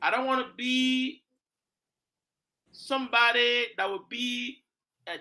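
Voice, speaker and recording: The voice is raised and projected, with a bright, sharp tone. It sounds animated throughout. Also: man. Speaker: talk show host. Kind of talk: political talk show discussion.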